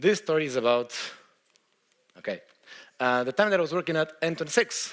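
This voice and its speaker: Someone talks at a very fast pace in a Brazilian accent, with very wide pitch swings. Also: man. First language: Portuguese. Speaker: software engineer. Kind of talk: conference talk. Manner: hesitant, many fillers.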